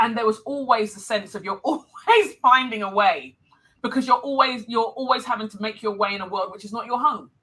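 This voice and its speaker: A woman talks in a London accent at a fairly quick pace. Her voice is fairly high, with ordinary pitch variation. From London, England (Nigerian heritage). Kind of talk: live interview.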